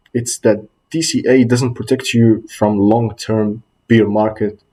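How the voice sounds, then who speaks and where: A somewhat breathy male voice of medium pitch, with a non-native accent, a dark, mellow tone and fairly even intonation. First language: not English. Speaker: student presenter. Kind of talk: class presentation. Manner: slightly halting.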